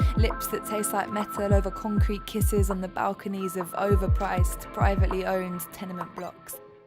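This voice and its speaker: The speech comes at a fairly quick pace with music in the background. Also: woman. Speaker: spoken word poet. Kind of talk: spoken word theatre performance.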